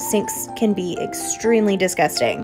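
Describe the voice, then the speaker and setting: Lively intonation from a woman, with music playing behind her. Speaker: home cleaning vlogger. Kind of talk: casual vlog voice-over narration.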